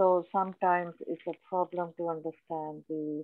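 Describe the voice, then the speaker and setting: A woman with a non-native accent, fairly low pitch, fairly slow pace and monotone, flat intonation. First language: not English. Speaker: workshop attendee, community project organizer. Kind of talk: question in workshop. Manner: halting.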